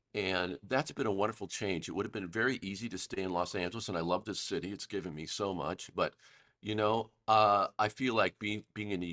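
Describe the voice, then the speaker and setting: A man speaks at a fairly low pitch and a fairly quick pace, with ordinary pitch variation. The sound is dry and close with no echo, over a quiet background. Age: 60s. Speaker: film composer. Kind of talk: podcast interview. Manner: halting, with many fillers and repeats.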